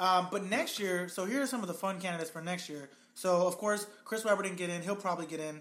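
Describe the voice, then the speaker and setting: Over noticeable background noise, a man talks very fast at a high pitch with ordinary variation. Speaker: podcast host. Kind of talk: casual chat. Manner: quiet, calm talker.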